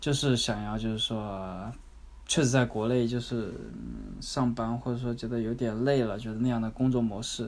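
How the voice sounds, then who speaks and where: A man's plain, everyday voice at a medium pitch, fairly even intonation, and a moderate pace. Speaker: former working holiday backpacker. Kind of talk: interview.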